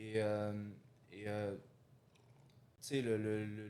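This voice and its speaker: The man talks very slowly, his voice pitched fairly low. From Algeria, moved to Quebec at about 9. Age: 20s. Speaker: real estate investor. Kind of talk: interview conversation. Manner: halting, many fillers.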